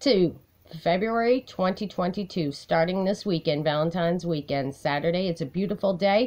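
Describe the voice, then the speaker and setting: A woman talks at a fairly slow pace. Her intonation is lively. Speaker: personal advocate vlogger. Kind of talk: casual vlog chat. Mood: aggrieved, determined. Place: home room. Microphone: phone near.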